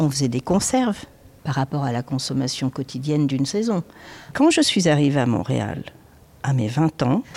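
The sound is dry and close with no echo as a woman with a dark, mellow tone talks at a moderate pace, her pitch swinging very widely. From southern France (countryside near Nice). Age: 60s. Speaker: restaurant chef. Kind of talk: interview.

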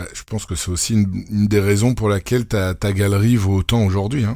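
A man with a Belgian accent, dark and mellow in tone, with fairly even intonation. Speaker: podcast host. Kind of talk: podcast interview.

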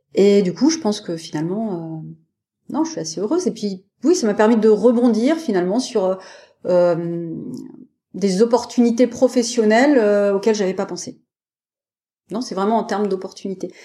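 Woman's dark, mellow voice at a fairly high pitch, in a very clean recording with a silent background. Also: lively intonation, moderate pace. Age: 40s. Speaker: parasurfer, wheelchair user. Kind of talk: interview conversation. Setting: podcast interview. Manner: hesitant, many fillers.

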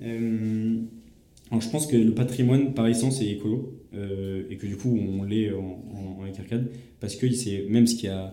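A man speaks at a fairly slow pace in a fairly low pitch, his tone dark and mellow, with audible echo in the room. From France, Vendée. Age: 20s. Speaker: heritage restoration association founder. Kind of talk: interview. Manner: halting, many repetitions; animated.

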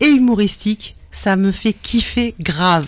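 At a very slow pace, a woman speaks with fairly high pitch. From pied-noir family. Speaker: radio co-host. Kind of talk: casual chat. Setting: studio.

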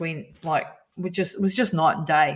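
This is a woman speaking. She has a New Zealand accent. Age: 50s. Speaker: endurance athlete and health coach. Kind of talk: interview.

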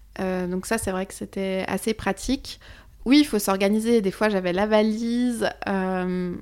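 A woman with an ordinary speaking voice and medium pitch speaks at a fairly slow pace with fairly even intonation. Her loudness swings widely on a very clean recording with a silent background. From Switzerland. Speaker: psychic medium and former travel agent. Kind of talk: casual chat.

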